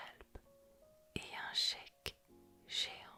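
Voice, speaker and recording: A woman whispers at a very slow pace. Music plays in the background. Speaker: ASMR content creator. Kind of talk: ASMR vlog voiceover. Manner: whispered, soft.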